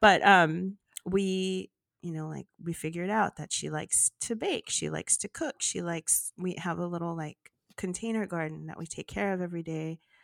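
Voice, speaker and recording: A woman with an American accent speaks in a normal speaking voice at a moderate pace, her pitch fairly low and her intonation fairly even. The recording is very clean with a silent background and a dry, close sound with no echo. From US, Los Angeles. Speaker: romance author. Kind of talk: casual chat.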